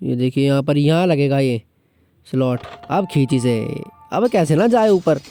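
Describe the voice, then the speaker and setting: Over music in the background, a man speaks with a Pahadi accent. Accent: Pahadi-accented Hindi. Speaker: gaming vlogger. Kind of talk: gaming commentary. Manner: joking, casual.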